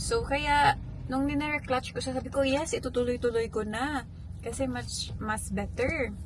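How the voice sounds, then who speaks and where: A woman talks fairly slowly, with audible room echo and noticeable background noise around her. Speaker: vlogger, mother. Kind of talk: casual vlog talk. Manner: soft-spoken in the morning.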